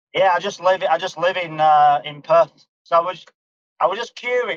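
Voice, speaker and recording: A man with a Northern English accent and a high pitch talks at a moderate pace in a dry, close sound with no echo. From northern England, near Manchester. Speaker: community member, crypto video creator. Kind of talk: casual chat. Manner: halting, repeats words.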